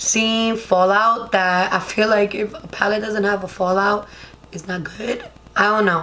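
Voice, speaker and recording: Amid noticeable background noise and audible room echo, a woman with a Spanish accent speaks fairly slowly at medium pitch, her intonation fairly even but her loudness swinging widely. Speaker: beauty vlogger. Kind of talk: makeup tutorial. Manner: casual, chatty.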